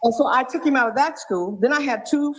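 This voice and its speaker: At a moderate pace, a woman speaks in an animated tone with lively intonation. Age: 70s. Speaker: caller. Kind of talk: casual chat.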